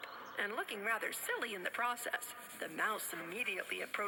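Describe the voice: Reading aloud in a plain way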